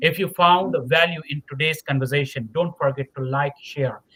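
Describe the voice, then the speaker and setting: A man talks with a non-native accent. His pitch is fairly high and varies in an ordinary way. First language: not English. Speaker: podcast host. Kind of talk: interview podcast wrap-up. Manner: halting, many fillers and repetitions.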